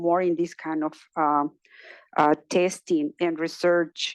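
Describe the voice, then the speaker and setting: A woman with a Spanish accent at a fairly slow pace, in a dry, close sound with no echo and a quiet background. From Mexico, Guadalajara. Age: 60s. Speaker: journalist and research participant. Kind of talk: personal testimony at event. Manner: halting, many fillers.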